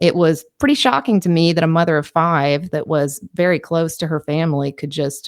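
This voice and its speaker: A woman's fairly low voice with a slight Southern US accent, fairly even intonation and a fairly quick pace, in a very clean recording with a silent background and a dry, close sound with no echo. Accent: slight Southern twang. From Kentucky. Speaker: true crime podcaster. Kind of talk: podcast narration. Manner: casual, with filler words.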